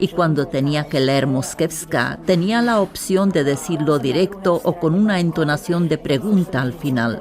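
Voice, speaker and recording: With a very deep, low pitch and lively intonation, a woman speaks at a fairly slow pace with hardly any pauses and very even loudness, over noticeable background noise. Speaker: metro announcer, former television voice. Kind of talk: interview answer.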